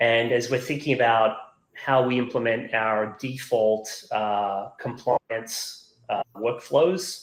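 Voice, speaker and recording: At a very slow pace, a man with a slight Australian accent speaks with fairly even intonation. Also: medium pitch for a man. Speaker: software company executive. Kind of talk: webinar interview. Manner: halting, many fillers and repeats.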